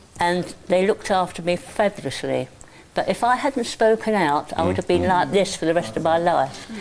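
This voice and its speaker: This woman's fairly low voice moves at a moderate pace with lively intonation and very even loudness over noticeable background noise. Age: 80s+. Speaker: elderly audience member. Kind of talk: personal testimony.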